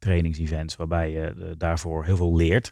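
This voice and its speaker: Very deep, low speech from a man, very clean recording and silent background. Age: 30s. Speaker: entrepreneur. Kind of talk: interview. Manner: hesitant.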